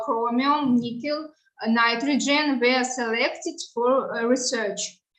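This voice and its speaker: A woman's high voice in a Russian accent, very slow, with ordinary pitch variation. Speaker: researcher. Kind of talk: conference presentation. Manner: halting, frequent filler sounds.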